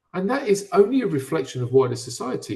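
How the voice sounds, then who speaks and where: With a British accent, a man in a dark, mellow, somewhat breathy tone speaks at a moderate pace with very wide pitch swings. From Britain. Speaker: physical education speaker. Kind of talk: webinar discussion. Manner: halting, with frequent fillers and repeats.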